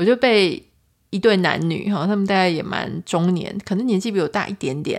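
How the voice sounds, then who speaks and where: With a plain, everyday voice, a woman speaks at a moderate pace and medium pitch with ordinary pitch variation in a very clean recording with a silent background. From Taiwan. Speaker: podcast host. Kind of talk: solo podcast monologue, travel story. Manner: casual, chatty.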